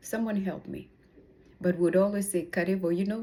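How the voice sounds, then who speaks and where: A woman with a Kenyan accent speaks at a fairly low pitch with fairly even intonation and a dark, mellow tone. The recording is very clean, with a silent background. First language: Kikuyu. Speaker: personal growth vlogger. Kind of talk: casual motivational vlog. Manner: halting.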